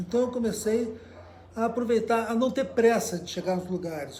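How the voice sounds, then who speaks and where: There is audible room echo around a man whose tone is dark and mellow, with ordinary pitch variation. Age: 70s. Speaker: cycle traveler and journalist. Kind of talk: interview storytelling. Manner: halting, with many fillers.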